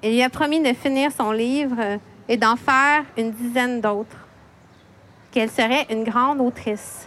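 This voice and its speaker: With a Quebec accent, a woman speaks in a high pitch at a fairly slow pace, her intonation fairly even, her loudness very even, and her speech marked by long, frequent pauses. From Quebec, Montreal. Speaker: poet and children's author, editor. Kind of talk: prepared talk read aloud. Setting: library event with live audience.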